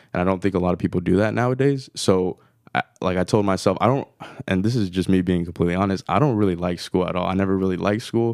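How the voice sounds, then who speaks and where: A man races along at a very fast pace in a very deep, low voice with ordinary pitch variation, on a very clean recording with a silent background and a dry, close sound with no echo. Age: 20s. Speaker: podcast host and studio foundation member. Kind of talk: interview.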